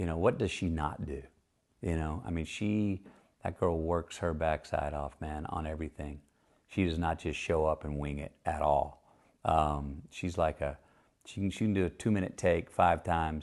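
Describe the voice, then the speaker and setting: A man with a very deep, low pitch talks at a moderate pace and fairly even intonation. The background is quiet. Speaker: actor discussing his film career. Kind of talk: casual rambling talk in an interview. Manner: soft-spoken, relaxed, rambling.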